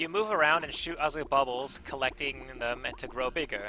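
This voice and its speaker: A man's fairly high voice moves with lively intonation while noticeable background noise carries on behind it. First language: not English. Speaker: gaming YouTuber. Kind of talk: scripted gameplay commentary.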